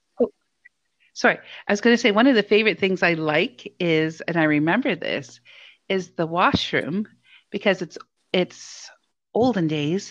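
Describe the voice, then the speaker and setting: A woman with an Ontario accent speaks at a moderate pace with lively intonation and long, frequent pauses against a quiet background. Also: medium pitch for a woman. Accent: Canadian (Ontario). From Hamilton, Ontario, Canada. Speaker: podcast co-host, small business coach. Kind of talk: casual chat.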